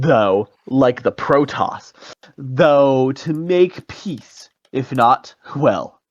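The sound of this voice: The background is quiet as the speaker reads in an unforced reading voice, pitch shifting by ordinary amounts.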